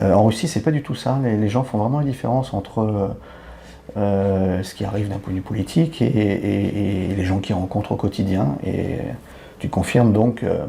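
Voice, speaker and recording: A man with a plain, everyday voice, fairly low in pitch, at a moderate pace with ordinary pitch variation. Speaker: podcast host, expat youtuber. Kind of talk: podcast interview.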